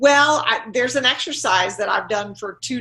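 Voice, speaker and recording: A woman's bright, sharp voice carries vocal fry and very wide pitch swings. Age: 70s. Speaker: productivity consultant. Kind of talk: interview.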